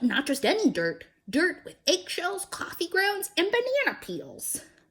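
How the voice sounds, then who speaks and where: A woman uses a put-on character voice at an extremely high pitch. Her pace is moderate. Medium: read story. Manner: fussy, boastful.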